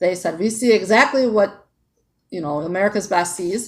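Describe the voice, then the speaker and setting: A woman with a normal speaking voice talks at a fairly quick pace, medium pitch and ordinary pitch variation. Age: 40s. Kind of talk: casual talk to camera.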